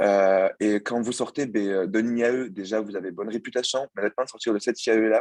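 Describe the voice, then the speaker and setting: A man speaks with a fairly low pitch and fairly even intonation, recorded with a dry, close sound and no echo. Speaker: former student, banking apprentice. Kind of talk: student presentation. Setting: video call. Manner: fast; hesitant, many fillers.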